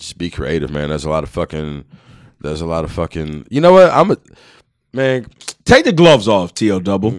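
A man with a very deep, low pitch speaks at a fairly quick pace, with lively intonation and big swings in loudness. Long pauses come often. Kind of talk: casual chat. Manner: casual, hesitant with fillers.

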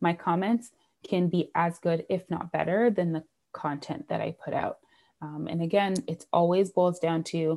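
A woman with a Canadian accent and a dark, mellow tone, fairly low in pitch, at a moderate pace with ordinary pitch variation, on a very clean recording with a silent background. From Canada (Toronto). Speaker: sales coach. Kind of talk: interview.

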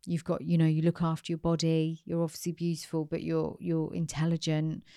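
A woman with a British accent, fairly low pitch and a dark, mellow tone, at a fairly quick pace in a very clean recording with a silent background. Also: dry, close sound with no echo. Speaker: podcast host. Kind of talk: interview.

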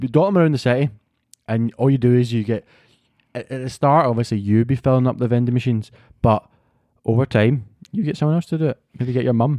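A man with a Glasgow accent speaks at a very fast pace with long, frequent pauses, a medium pitch, ordinary pitch variation and a dark, mellow tone, in a dry, close sound with no echo. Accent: Scottish (Glasgow). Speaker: podcast co-host. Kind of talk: casual chat.

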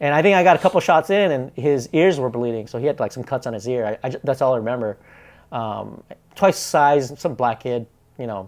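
A man with a Pacific Northwest accent talks at a fairly quick pace with lively intonation. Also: medium pitch for a man. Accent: American (Pacific Northwest). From Bellingham, Washington (Vietnamese refugee family). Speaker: entrepreneur. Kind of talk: casual chat.

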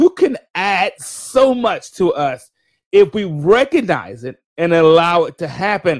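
A man with a Southern US accent speaks at a high pitch. The recording is very clean, with a silent background and a dry, close sound with no echo. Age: 50s. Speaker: podcast host. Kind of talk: casual livestream monologue. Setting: live stream.

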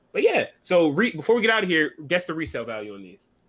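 A man's fairly high voice with vocal fry and an American accent, at a very fast pace. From Michigan. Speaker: podcast co-host. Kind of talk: casual chat. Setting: live stream.

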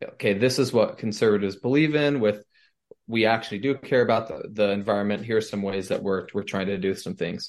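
Using an ordinary speaking voice, a man talks fairly quickly at a fairly low pitch with ordinary pitch variation. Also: quiet background. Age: 20s. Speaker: student political leader. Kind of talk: interview.

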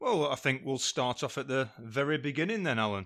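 A man's fairly high voice moves at a moderate pace, its intonation lively. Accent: northern English. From northern England. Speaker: guest interviewer and friend. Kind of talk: casual chat.

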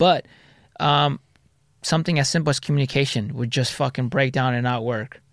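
The recording is very clean, with a silent background. A man of medium pitch speaks at a moderate pace with long, frequent pauses. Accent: American. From Southern California (Orange County). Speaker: army veteran and entrepreneur. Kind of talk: casual interview. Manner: halting, many repetitions.

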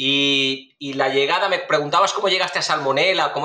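A man talks at a fairly quick pace. He speaks with a Spanish accent. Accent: Spanish (Spain). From Spain, Valencia. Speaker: food safety researcher. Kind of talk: interview. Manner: repetitive stammering fillers.

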